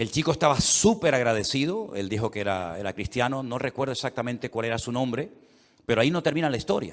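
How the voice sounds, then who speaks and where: Very fast, lively speech with a Canary Islands accent on a very clean recording with a silent background. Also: man, medium pitch for a man. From Canary Islands, Spain. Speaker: pastor. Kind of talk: sermon. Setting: church service.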